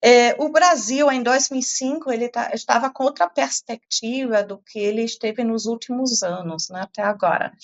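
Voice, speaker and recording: With a slight non-native accent, a woman speaks at a high pitch and moderate pace with lively intonation. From Portugal (German family). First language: German (speaking Portuguese). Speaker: climate science professor. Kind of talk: interview. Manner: hesitant, many fillers.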